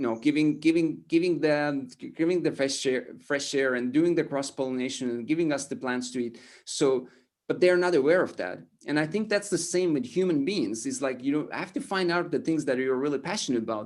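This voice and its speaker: A man with an Estonian accent, fairly high pitch, lively intonation and a fairly quick pace. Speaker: motivational speaker. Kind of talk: interview. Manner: halting, many repetitions and fillers.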